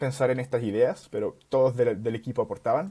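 A man's dark, mellow tone comes through with little sound around it. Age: 20s. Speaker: startup founder; guest. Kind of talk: casual interview. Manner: halting. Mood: relaxed, friendly. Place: home room. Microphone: earbuds.

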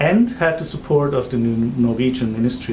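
Light background noise sits under the voice of a man talking. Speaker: interviewer. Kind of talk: interview introduction and questions. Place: office.

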